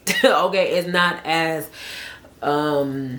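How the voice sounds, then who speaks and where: The pitch varies in an ordinary way. There is audible room echo. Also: woman. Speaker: vlogger and hair stylist. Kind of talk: casual chat to camera. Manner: fast; casual, filler-heavy.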